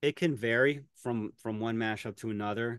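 A man speaks in an American accent at a moderate pace with ordinary pitch variation. The sound is dry with no echo, and the background is quiet. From western Pennsylvania. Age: 40s. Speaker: music teacher and mashup creator. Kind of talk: casual interview. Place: home room. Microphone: webcam.

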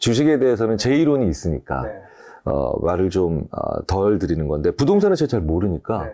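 Using vocal fry and a dark, mellow tone, a man speaks fairly quickly at a fairly low pitch with very wide pitch swings. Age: 50s. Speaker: psychology professor. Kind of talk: interview. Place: studio. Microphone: lapel.

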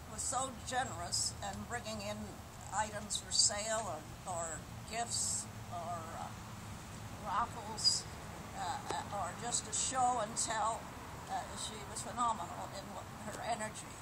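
Loud background noise sits under the speech. The pace is fairly slow, with long, frequent pauses. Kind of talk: memorial tribute speech. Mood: warm, reminiscing. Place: garden. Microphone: camera far.

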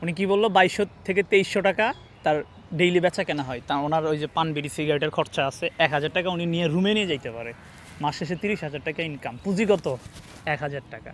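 His voice fairly high for a man, he speaks with ordinary pitch variation. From northern Bangladesh. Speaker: business vlogger. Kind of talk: street interview and motivational talk. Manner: animated.

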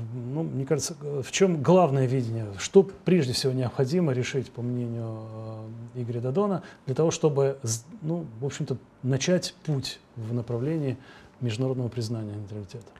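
A man's somewhat breathy voice has a dark, mellow tone, lively intonation and a fairly slow pace with long, frequent pauses. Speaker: TV host. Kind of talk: TV interview. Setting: studio. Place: studio. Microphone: lapel.

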